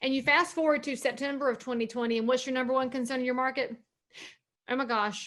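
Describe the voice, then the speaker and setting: Over a quiet background, the speaker talks with a Southern US accent and ordinary pitch variation. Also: woman. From North Carolina. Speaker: realtor and speaker. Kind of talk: seminar talk. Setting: video call. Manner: animated.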